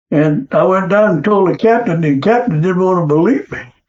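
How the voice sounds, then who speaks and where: An American accent marks this man's high-pitched voice, which moves at a fairly quick pace with ordinary pitch variation. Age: 80s+. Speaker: war veteran. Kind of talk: interview answer.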